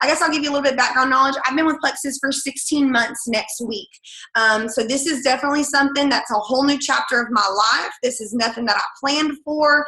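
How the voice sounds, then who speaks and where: Raising and projecting her high voice, a woman with an American accent speaks very fast with ordinary pitch variation, amid audible room echo and noticeable background noise. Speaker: direct sales team leader and third grade teacher. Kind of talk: sales training call. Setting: conference call with screen share.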